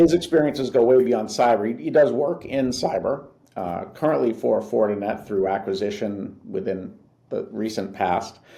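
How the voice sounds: A man talks at a fairly low pitch with a dark, mellow tone and vocal fry. Audible room echo surrounds his voice.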